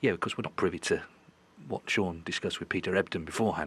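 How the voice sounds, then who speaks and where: A quiet male voice, very deep and low in pitch, with a bright, sharp tone and a very fast pace. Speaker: snooker commentator. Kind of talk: live commentary. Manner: quiet, hushed.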